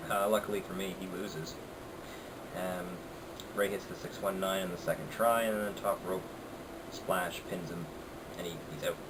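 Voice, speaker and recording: A quiet man speaks at a moderate pace with a very deep, low pitch and monotone, flat intonation. Long, frequent pauses break his speech over noticeable background noise. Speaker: wrestling reviewer. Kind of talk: casual talk to camera. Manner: quiet, low volume.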